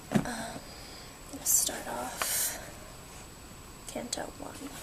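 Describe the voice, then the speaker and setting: The words are whispered, very slowly. Clear background noise runs underneath. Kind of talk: casual talk to camera intro. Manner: soft-spoken, relaxing.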